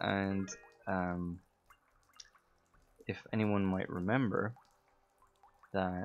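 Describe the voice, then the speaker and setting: A man talks in a fairly low voice. Music plays in the background. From Ireland. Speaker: voice actor and game streamer. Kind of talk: casual chat while streaming gameplay. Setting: live game stream.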